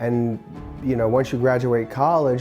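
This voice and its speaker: A man's pitch moves in an ordinary way as music plays behind him. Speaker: pole vault athlete and coach. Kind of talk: interview answer.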